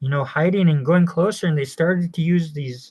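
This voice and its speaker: With an unremarkable speaking voice, a man talks at a fairly high pitch and ordinary pitch variation. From Piapot First Nation, Saskatchewan, Canada. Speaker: poet and storyteller. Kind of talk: oral traditional storytelling. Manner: casual, conversational.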